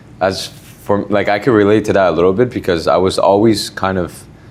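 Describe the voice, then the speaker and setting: Over noticeable background noise, a man with a fairly low pitch talks at a moderate pace, his intonation fairly even and his loudness very even. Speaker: podcast host and trainer. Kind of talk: casual chat. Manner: calm.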